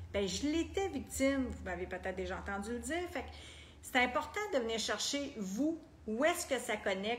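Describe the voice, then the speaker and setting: A woman with a Quebec accent speaks at a moderate pace in a fairly high voice, her lively intonation touched by vocal fry and audible room echo. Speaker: personal development coach. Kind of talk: group coaching talk.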